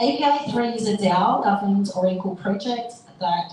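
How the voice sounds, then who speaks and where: A woman's medium-pitched voice with ordinary pitch variation, audible room echo and noticeable background noise. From Australia. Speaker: panel moderator, marketing agency founder. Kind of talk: live panel moderation.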